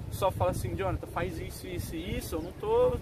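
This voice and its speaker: Noticeable background noise runs through the clip. A man talks very fast. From São José do Rio Preto, São Paulo state, Brazil. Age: 20s. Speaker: bank clerk. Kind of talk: casual interview.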